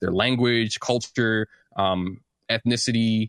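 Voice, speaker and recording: A man with an American accent speaks in a normal speaking voice, his pitch fairly low and his intonation fairly even. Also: dry, close sound with no echo. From St. Louis, Missouri. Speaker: music producer and composer. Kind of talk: casual interview.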